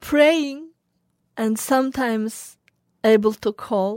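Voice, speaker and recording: A woman's dark, mellow voice in a Xinjiang accent, fairly high in pitch, at a very slow pace, with dry, close sound free of echo on a very clean recording with a silent background. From Xinjiang, China. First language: Uyghur. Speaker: journalist. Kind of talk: interview testimony. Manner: halting.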